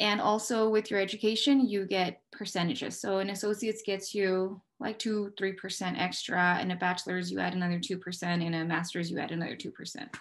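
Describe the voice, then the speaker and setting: A woman with a Spanish accent talks at a fairly quick pace with hardly any pauses, her pitch medium and intonation fairly even. The background is quiet. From Mexico. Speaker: police dispatcher. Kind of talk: career interview.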